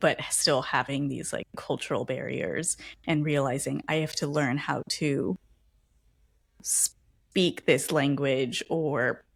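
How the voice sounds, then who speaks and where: A woman with an American accent speaks at a very slow pace, her pitch very deep and low, with vocal fry and ordinary pitch variation. The recording is very clean, with a silent background. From Los Angeles, California. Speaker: podcast host. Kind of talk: casual interview conversation. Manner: animated.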